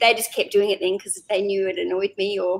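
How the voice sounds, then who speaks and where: A woman at a moderate pace, with an Australian accent. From Australia, Canberra. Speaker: eBay reseller. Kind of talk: casual chat. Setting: live stream.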